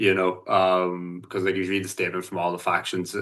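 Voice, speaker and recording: A man with a Northern Irish accent speaks in a very deep, low pitch at a fairly quick pace. His tone is bright and sharp against a quiet background. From Northern Ireland. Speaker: solidarity activist and sports coach. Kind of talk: podcast interview. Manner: halting, many fillers.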